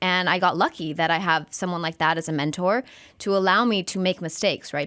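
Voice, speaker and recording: The recording is very clean, the background silent. In an American accent, a woman talks at a medium pitch. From US-Mexico border, El Paso, Texas. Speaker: sports broadcaster. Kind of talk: podcast interview. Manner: fast.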